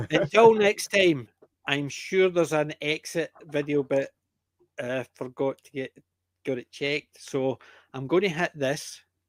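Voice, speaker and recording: In a Scottish accent, the speaker goes at a fairly slow pace with ordinary pitch variation, long, frequent pauses and big swings in loudness, the sound dry and close with no echo. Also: man, fairly high pitch for a man. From Scotland (Lowlands). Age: 60s. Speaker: podcast host. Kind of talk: casual chat.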